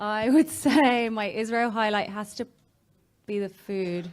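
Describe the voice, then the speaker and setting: With an English accent, a woman reads at a very slow pace in a fairly high pitch with ordinary pitch variation. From England. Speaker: travel blogger. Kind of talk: panel discussion.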